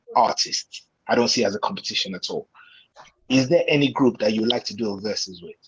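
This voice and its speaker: Lively intonation from a man at medium pitch, fairly quick in pace. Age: 40s. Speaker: DJ and MC, call-in participant. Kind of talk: audience question on a video call. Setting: video call.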